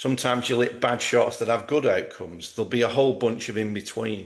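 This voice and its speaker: A plain, everyday voice from a man, medium in pitch and with ordinary pitch variation. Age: 60s. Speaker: golf performance coach. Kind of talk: interview.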